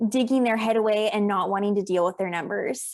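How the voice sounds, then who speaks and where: A woman with an American accent has an ordinary speaking voice at medium pitch with ordinary pitch variation. The recording is very clean, with a silent background. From South Africa. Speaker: accountant and business coach. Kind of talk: podcast interview.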